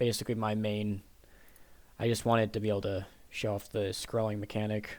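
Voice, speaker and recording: Flat, monotone intonation carries a fairly quick delivery. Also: man, fairly low pitch for a man. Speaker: computer science student. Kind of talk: project presentation. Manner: halting, many fillers.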